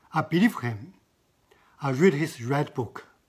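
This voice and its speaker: A man with a fairly high, somewhat breathy voice talks at a very slow pace with lively intonation. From China. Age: 70s. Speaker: artist. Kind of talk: interview. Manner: halting.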